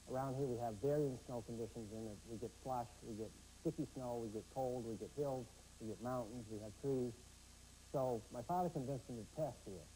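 Over light background noise, a man talks fairly quickly in a dark, mellow, somewhat breathy tone. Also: ordinary pitch variation. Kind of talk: interview answer. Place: hall. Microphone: lapel.

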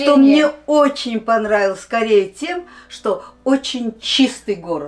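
A woman speaks at a very slow pace. Her high-pitched voice carries lively intonation. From Uzbekistan, ethnic Korean. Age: 70s. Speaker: elderly Koryo-saram woman being interviewed. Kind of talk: interview answer. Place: studio.

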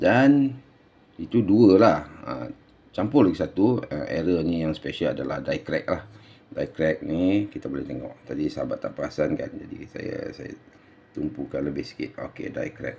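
A man at a fairly slow pace with big swings in loudness, over light background noise. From Malaysia. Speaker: coin collector and seller; seller. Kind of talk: video tutorial and sales pitch. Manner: halting, many fillers. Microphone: phone near.

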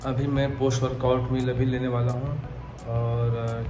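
A man speaks at a very slow pace in a monotone, flat intonation. Clear music plays in the background. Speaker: daily vlogger. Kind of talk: casual vlog chat. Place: home room. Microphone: phone near.

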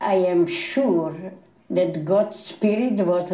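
A very slow, somewhat breathy woman's voice, fairly low in pitch. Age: 80s+. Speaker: Holocaust survivor. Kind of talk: interview answer.

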